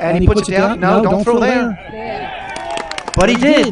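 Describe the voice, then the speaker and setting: The room echo is audible. There is noticeable background noise as well. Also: man. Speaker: high school baseball livestream announcer. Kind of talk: live commentary. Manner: animated.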